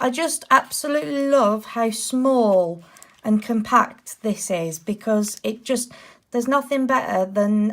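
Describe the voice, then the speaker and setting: Recorded very cleanly with a silent background, a woman with a British accent speaks at a fairly high pitch and fairly slow pace, with ordinary pitch variation. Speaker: nail art youtuber. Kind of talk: product review to camera. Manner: upbeat.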